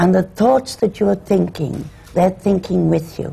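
A woman with an Irish accent, fairly low in pitch, at a fairly slow pace with lively intonation. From Ireland. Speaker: actress. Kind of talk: panel discussion.

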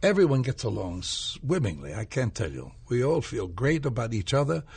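A man speaks at a moderate pace with a medium pitch and some vocal fry. His pitch swings very widely, and the background is quiet. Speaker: stage actor. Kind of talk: casual chat.

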